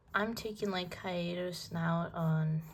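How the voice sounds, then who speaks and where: A woman speaks very slowly in a somewhat breathy voice. Room echo can be heard. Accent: non-native. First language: not English. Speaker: art vlogger. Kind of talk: casual chat while drawing. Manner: halting.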